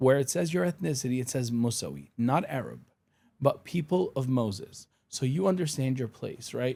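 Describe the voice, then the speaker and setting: In a dark, mellow tone, a man at medium pitch speaks with lively intonation. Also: moderate pace. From Syria, Damascus. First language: Arabic. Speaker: attorney and pro-Israel advocate. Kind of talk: podcast interview.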